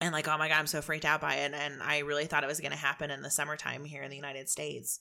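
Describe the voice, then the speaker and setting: Here a woman talks at a very fast pace in an animated, bright, sharp tone. The recording is very clean, with a silent background. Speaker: podcast host. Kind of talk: casual chat. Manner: fast talker.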